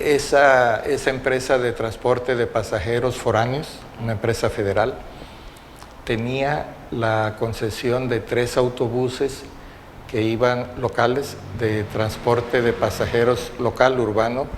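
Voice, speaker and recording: Audible room echo surrounds a man with a medium pitch. He speaks very slowly in a flat monotone. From Mexico, Acapulco, Guerrero. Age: 70s. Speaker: oral history witness. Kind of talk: oral history interview testimony. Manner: halting, with fillers and repetitions.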